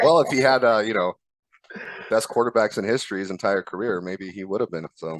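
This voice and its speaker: A man with an Arizona accent talks at a fairly quick pace with a fairly low pitch. His pitch varies in an ordinary way, and the sound is dry and close with no echo. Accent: American (Arizona). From Croatia, moved to Arizona as a child. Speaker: sports fan guest. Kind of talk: casual chat. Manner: halting, many fillers.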